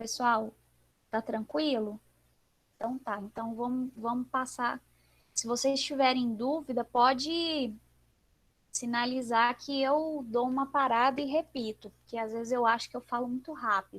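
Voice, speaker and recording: A woman with a high voice and fairly even intonation speaks at a fairly slow pace, leaving long, frequent pauses. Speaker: sign language teacher. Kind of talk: online class livestream. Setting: video livestream.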